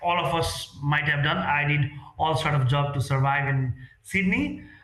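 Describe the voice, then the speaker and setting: There is audible room echo around a man whose pitch is fairly high. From Nepal. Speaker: real estate sales executive. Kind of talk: interview. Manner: halting.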